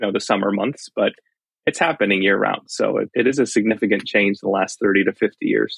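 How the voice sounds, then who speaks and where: With a Californian accent, a man talks at a fairly quick pace and very even loudness in a dry, close sound with no echo. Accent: Californian American English. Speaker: fire engineering professor. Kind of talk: casual chat.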